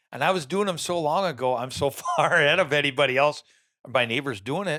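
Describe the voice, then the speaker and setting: Speaking in an Upper Midwest accent, a man talks at a very fast pace with an animated tone. His voice is fairly high, with ordinary pitch variation. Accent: Upper Midwest rural American. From Minnesota, small town. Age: 60s. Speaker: land owner and deer hunter. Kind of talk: podcast interview. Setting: studio.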